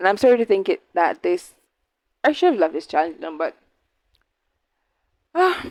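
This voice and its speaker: A woman talks with very wide pitch swings and long, frequent pauses. The sound is dry and close, with no echo. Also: medium pitch for a woman, moderate pace. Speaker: book reviewer. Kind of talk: casual book review vlog.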